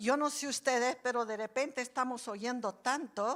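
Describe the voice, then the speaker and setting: This woman's high voice has a bright, sharp tone and ordinary pitch variation, captured in a very clean recording with a silent background. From Bolivia. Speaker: preacher. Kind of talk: sermon.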